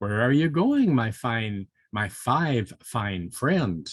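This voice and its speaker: Putting on a character voice, a man speaks very slowly at a medium pitch, with very wide pitch swings and hissing. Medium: read story. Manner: hissing, sly.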